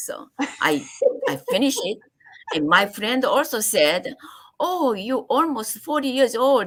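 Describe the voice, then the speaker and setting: A woman speaks at a moderate pace with vocal fry. Her pitch swings very widely. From Korea. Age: 70s. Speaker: acupuncturist. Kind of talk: interview. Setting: live stream. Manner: halting.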